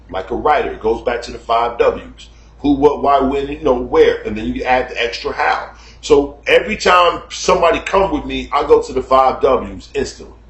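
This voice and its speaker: A man keeps a moderate speed as noticeable noise sounds in the background. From United States. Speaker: YouTube commentator. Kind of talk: casual monologue. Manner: loud and animated.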